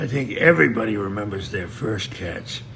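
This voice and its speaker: With noticeable background noise and audible room echo, a man talks at a moderate pace in a fairly low pitch, his pitch swinging very widely. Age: 70s. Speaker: trapper and fur buyer. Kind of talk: interview.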